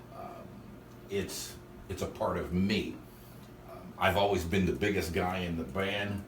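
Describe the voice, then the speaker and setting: Amid audible room echo, a man with a very deep, low pitch speaks at a fairly slow pace with ordinary pitch variation and long, frequent pauses. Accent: American. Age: 60s. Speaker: drummer. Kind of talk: casual interview.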